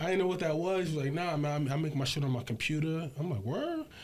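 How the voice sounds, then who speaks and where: A man speaks at a very fast pace with a fairly high pitch. Audible room echo surrounds his voice. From Brooklyn, New York (Bed-Stuy, Fort Greene). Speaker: hip hop producer. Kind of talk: casual interview.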